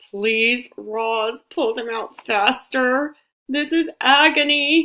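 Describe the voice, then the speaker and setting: Using a strained, put-on character voice, a woman speaks at a very slow pace with high pitch. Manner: strained, speaking through gritted teeth.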